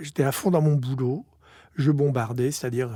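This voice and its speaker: A man's somewhat breathy, dark, mellow voice at a medium pitch, with fairly even intonation and a moderate pace, on a very clean recording with a silent background. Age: 60s. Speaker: company executive. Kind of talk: interview testimony.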